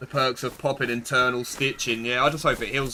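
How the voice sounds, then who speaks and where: Against noticeable background noise, a man talks very fast at a medium pitch. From Essex, England. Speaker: game streamer. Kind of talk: live gameplay stream chat. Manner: loud.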